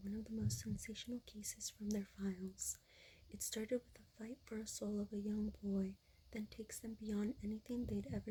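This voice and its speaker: A soft-spoken voice. It speaks in a whisper. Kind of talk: ASMR soft spoken ramble, casual chat to camera. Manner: soft-spoken, whispering, lo-fi.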